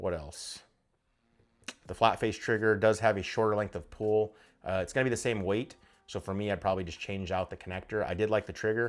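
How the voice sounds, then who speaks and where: Long, frequent pauses break up speech with fairly even intonation in a very clean recording with a silent background. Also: man. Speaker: firearms YouTuber. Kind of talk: casual talk-to-camera review. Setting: home studio. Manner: fast; thinking out loud, filler-heavy.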